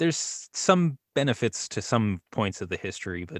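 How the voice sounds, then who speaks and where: A man at a moderate pace with lively intonation, an ordinary speaking voice, and a dry, close sound with no echo. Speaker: voice actor and YouTuber. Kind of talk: casual chat. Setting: video call.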